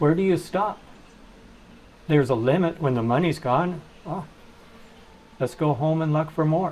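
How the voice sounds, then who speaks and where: A man with an American accent, a fairly high pitch, ordinary pitch variation and a moderate pace. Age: 60s. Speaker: charity founder. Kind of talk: interview.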